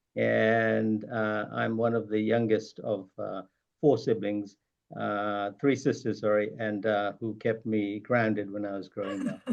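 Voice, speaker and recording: A man talks at a fairly slow pace, his fairly low pitch held in a monotone, flat intonation. The background is quiet. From Zambia and London. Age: 60s. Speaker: retired surgeon. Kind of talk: interview. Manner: hesitant, many fillers.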